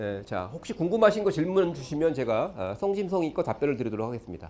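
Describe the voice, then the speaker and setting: A man with a fairly high pitch and vocal fry talks at a very fast pace, his pitch swinging very widely. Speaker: education lecturer. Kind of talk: lecture. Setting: stage with audience.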